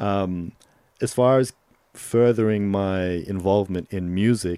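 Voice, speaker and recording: This man's dark, mellow tone and fairly even intonation come through on a very clean recording with a silent background. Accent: American. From Solomon Islands. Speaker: videographer and rapper. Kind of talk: casual interview chat. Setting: studio.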